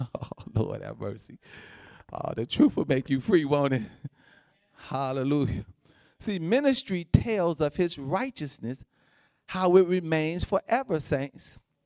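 A man talks at a fairly high pitch and a fairly slow pace, his pitch swinging very widely and his loudness rising and falling sharply. He leaves long, frequent pauses, and the sound is dry and close with no echo. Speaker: pastor. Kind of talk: sermon with call-and-response to the congregation. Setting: church service with congregation. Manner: conversational, repetitive preaching, peppered with 'amen' and 'say amen to that'; informal, folksy, laughs often.

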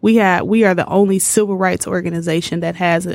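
A woman with an American accent speaks at a fairly low pitch in a monotone, flat intonation. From Detroit, Michigan. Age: 30s. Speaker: civil rights organization director. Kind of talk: interview.

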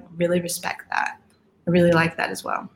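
A woman speaks at a medium pitch with an American accent. Her voice is somewhat breathy. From Colorado, Aurora. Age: 20s. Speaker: college soccer player. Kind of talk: casual interview.

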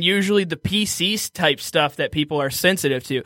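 In a raised, projected voice, a man with an American accent speaks at a moderate pace in a high pitch with a bright, sharp tone and ordinary pitch variation, the sound dry and close with no echo. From Michigan, Detroit area. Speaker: stand-up comedian. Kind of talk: casual chat.

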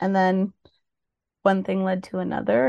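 A woman with a Canadian accent speaks at medium pitch in a dark, mellow tone with ordinary pitch variation, the sound dry and close with no echo. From Ontario, Peel region (Mississauga, Brampton). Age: 30s. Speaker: drug user advocate. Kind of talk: interview testimony.

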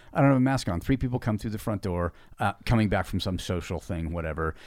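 A man's fairly low voice with lively intonation at a fairly quick pace, on a very clean recording with a silent background. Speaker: podcast co-host, fitness business owner. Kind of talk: casual chat. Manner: fast.

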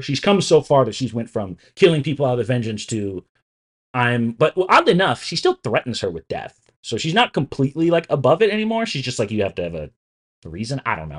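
A man speaks at a very fast pace and medium pitch, with very wide pitch swings and vocal fry. The sound is dry and close with no echo, over a quiet background. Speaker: co-host. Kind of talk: casual chat.

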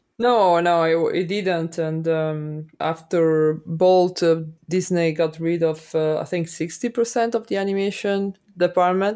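Over a quiet background, a woman with an Italian accent speaks fairly slowly in a dark, mellow, fairly low voice with fairly even intonation. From Italy, Milan. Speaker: animation director. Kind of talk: interview. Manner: halting.

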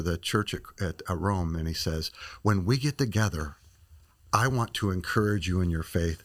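In a Midwestern American accent, a man speaks at a moderate pace with a fairly low pitch and ordinary pitch variation, on a very clean recording with a silent background. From small-town Illinois. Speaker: missionary and ministry director. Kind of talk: interview. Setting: studio.

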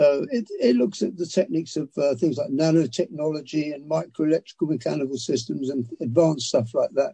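The voice is somewhat breathy with a dark, mellow tone and ordinary pitch variation, moving at a fairly quick pace with hardly any pauses. The sound is dry and close, with no echo. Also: man, fairly high pitch for a man. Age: 80s+. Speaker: author. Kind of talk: interview. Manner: halting.

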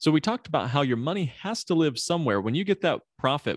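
A man with a Midwestern US accent speaks with lively intonation against a quiet background, the sound dry and close with no echo. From US Midwest. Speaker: podcast host, financial planner. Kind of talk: interview, conversational podcast.

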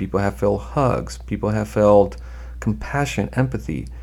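A man speaks at a moderate pace in a very deep, low voice with vocal fry. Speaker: trial lawyer. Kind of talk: interview, telling case stories.

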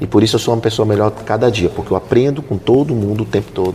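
A man with a fairly low voice talks while noticeable background noise runs underneath. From Belém, Pará, northern Brazil. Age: 50s. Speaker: investor and entrepreneur. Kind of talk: casual interview. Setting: corporate office space.

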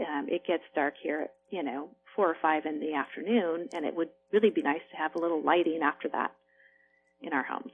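A woman with an American accent has an unremarkable speaking voice, fairly low in pitch with ordinary pitch variation. She talks at a fairly quick pace. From rural farming region, US. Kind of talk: interview.

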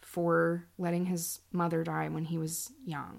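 In a plain, everyday voice, a woman speaks at a fairly slow pace on a very clean recording with a silent background. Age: 40s. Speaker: podcast host. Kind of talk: casual monologue, personal testimony and book reading.

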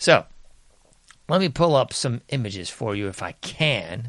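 A man talks in an animated tone, his pitch swinging very widely. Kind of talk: pitchman patter. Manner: mock-barker carnival pitch, sarcastic, animated.

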